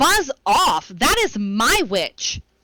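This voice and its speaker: A put-on character voice, high and shrill yet croaky and growling, lurches through very wide pitch swings. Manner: monstrous.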